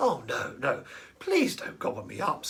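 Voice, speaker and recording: A man speaks softly at a moderate pace in a put-on character voice with an extremely high pitch. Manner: pleading, timid.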